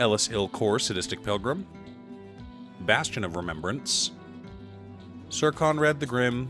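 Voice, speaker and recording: Music plays in the background as a man talks at a fairly slow pace. His medium pitch moves in very wide swings. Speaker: card game content creator. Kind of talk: deck-building commentary to camera.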